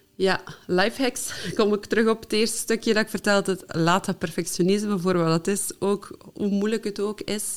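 A woman's unremarkable speaking voice, medium in pitch, with fairly even intonation, a moderate pace and hardly any pauses. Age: 30s. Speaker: technical virtual assistant and trainer. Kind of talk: casual interview.

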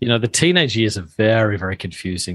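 In a quiet background, a man with an Australian accent talks at medium pitch with lively intonation. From Australia (Adelaide). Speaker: pastor and author. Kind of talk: interview.

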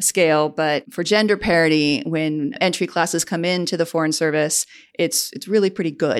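A woman with a Chicago accent speaks at a fairly quick pace in a fairly low voice, recorded very cleanly against a silent background. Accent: Chicago-area American. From US Midwest, Chicago southwest suburbs. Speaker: diplomat. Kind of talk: interview.

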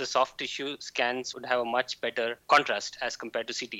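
A man with an Indian accent, medium pitch and a moderate pace. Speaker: physician and PhD researcher. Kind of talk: casual chat.

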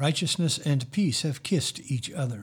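Somewhat breathy, a man speaks at a fairly slow pace with a fairly high pitch and ordinary pitch variation. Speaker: priest leading worship. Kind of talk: liturgical prayer service. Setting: church, recorded for online listeners. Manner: formal.

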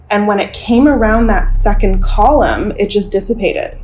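A woman's voice with ordinary pitch variation, over noticeable background noise. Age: 20s. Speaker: nurse. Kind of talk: storytelling interview.

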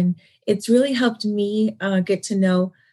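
A woman with an American accent speaks at a moderate pace in a fairly high, somewhat breathy voice. Her pitch varies in an ordinary way, and the background is quiet. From Southern California. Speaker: non-profit founder and hairstylist. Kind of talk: interview.

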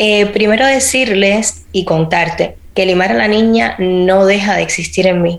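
Fairly slow delivery with hardly any pauses, ordinary pitch variation, very even loudness, and noticeable background noise. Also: woman, medium pitch for a woman. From Cuba. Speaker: actress and podcast host. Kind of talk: interview.

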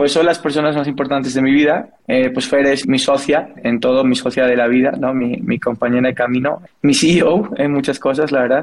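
A man with a fairly high pitch talks at a moderate pace with hardly any pauses. His loudness stays very even and his intonation fairly even. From Spain, Asturias. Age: 30s. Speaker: entrepreneur and economist. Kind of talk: interview. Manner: hesitant with repeated words and fillers.

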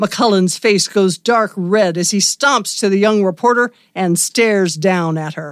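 A woman's unremarkable speaking voice, medium in pitch with ordinary pitch variation, at a fairly slow pace, on a very clean recording with a silent background. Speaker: radio theatre narrator and podcast host. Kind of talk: dramatic narration. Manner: theatrical, campy, vividly descriptive.

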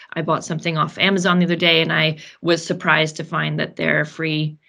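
In a very clean recording with a silent background, a woman with vocal fry and a bright, sharp tone speaks fairly quickly at a very deep, low pitch in a monotone, flat intonation. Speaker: operations director at fashion circularity company. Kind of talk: casual interview chat.

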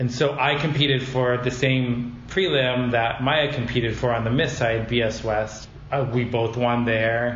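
Medium pitch from a man, with noticeable background noise and an audible room echo. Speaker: drag pageant titleholder. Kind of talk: casual chat. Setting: conference room. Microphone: echo in room.

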